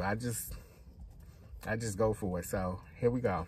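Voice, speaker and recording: A somewhat breathy man at a moderate pace, dry sound with no echo. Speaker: vlogger. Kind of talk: casual vlog chat. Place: car. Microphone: phone near.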